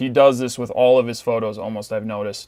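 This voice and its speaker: This man has an ordinary speaking voice, a medium pitch and a moderate pace. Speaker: photo editing tutorial creator. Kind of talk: tutorial. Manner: casual, filler-heavy.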